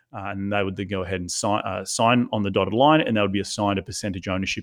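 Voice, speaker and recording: This man speaks with an Australian accent at a fairly low pitch. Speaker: real estate investor. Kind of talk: interview.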